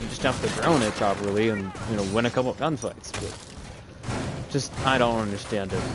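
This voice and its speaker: A man talks at a fairly quick pace with audible room echo and noticeable background noise. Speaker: esports caster. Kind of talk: live commentary.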